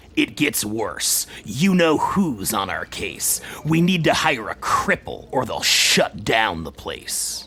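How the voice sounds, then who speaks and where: A man puts on a character voice, pitched fairly high, and talks at a fairly slow pace with hardly any pauses. Clear background noise runs underneath. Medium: solo performance.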